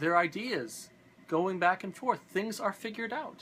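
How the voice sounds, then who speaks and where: A man's bright, sharp tone at a moderate pace. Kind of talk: philosophical talk to camera.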